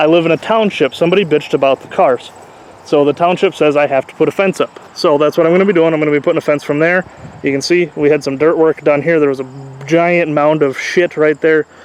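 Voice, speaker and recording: A man speaks at a fairly quick pace with a fairly high pitch and fairly even intonation. Noticeable background noise runs underneath. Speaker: car YouTuber, derby car builder. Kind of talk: casual vlog walkthrough. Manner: fast; casual, filler-heavy.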